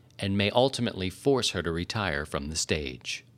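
Vocal fry runs through a voice with very wide pitch swings at a moderate pace, captured on a very clean recording with a silent background. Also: man. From Maryland, US. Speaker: podcast host, ballet company director. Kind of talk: interview; scripted narration. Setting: studio.

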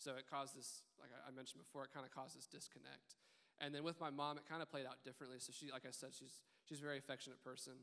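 At a very fast pace, a man with an American accent speaks in a bright, sharp tone at a fairly high pitch, his intonation monotone and flat. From Richardson, Texas. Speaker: church member. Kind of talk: panel discussion. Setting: church.

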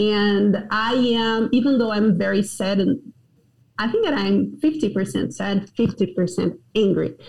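A woman's very slow, vocal-fry speech in a Portuguese accent, medium in pitch, with ordinary pitch variation and very even loudness. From Brazil, Goiânia. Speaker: pastor. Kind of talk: interview.

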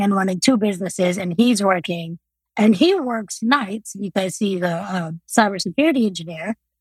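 A woman speaks with ordinary pitch variation and a somewhat breathy voice, recorded dry and close with no echo on a very clean track with a silent background. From Congo, moved to US at eight. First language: non-English African language. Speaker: math teacher and college coach. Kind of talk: interview.

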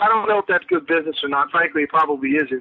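Here a man speaks with an American accent. His pitch is fairly high. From South Jersey. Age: 30s. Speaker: high school history teacher and pipe seller. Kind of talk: casual interview. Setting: phone call.

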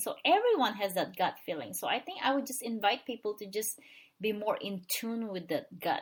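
A woman's somewhat breathy voice at a fairly high pitch and a moderate pace. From Philippines. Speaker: financial coach. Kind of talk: interview.

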